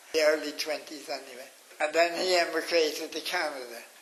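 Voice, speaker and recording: Fairly high male voice in a Cork accent at a moderate pace, against noticeable background noise. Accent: Cork Irish. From Ireland, County Cork. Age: 80s+. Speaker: elderly interviewee recounting memories. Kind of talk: oral history interview. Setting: radio interview. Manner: halting.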